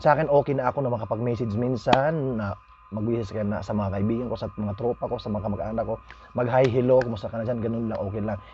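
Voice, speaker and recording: With music in the background, a man at medium pitch talks at a very fast pace, his intonation fairly even. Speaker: vlogger. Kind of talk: casual vlog monologue. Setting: at home. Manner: halting.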